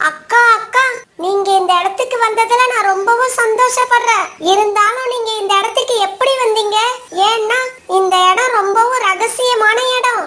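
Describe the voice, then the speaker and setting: This cartoonish character voice is pitched extremely high and delivered at a fairly slow pace. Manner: polite, respectful.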